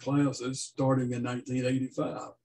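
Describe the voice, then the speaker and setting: The voice belongs to a man. There is a somewhat breathy quality to it. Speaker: service host introducing speaker. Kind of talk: formal introduction. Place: home room.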